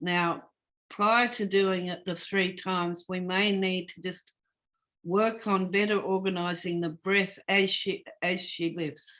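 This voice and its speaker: In an Australian accent, a woman talks very slowly at a medium pitch, her calm, bright, sharp tone paired with monotone, flat intonation. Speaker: Feldenkrais practitioner. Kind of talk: guided movement lesson. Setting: video call. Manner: calm, slow instructional.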